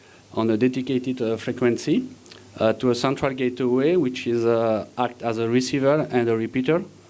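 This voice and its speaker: A man talks with a French accent. His pitch is medium and his pace moderate. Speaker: engineer presenting at a conference. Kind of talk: conference presentation. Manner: halting, many fillers.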